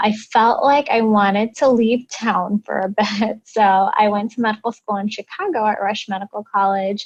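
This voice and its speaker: A woman with a Midwestern American accent speaks at a fairly high pitch, somewhat breathy, with fairly even intonation. Her pace is moderate with hardly any pauses, and the sound is dry and close with no echo. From US Midwest. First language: Indian language (English is third). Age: 30s. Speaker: plastic surgery resident. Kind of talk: interview.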